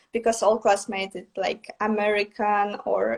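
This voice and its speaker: In a Russian accent, a woman speaks at a medium pitch with monotone, flat intonation. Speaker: artist. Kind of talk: interview. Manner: halting.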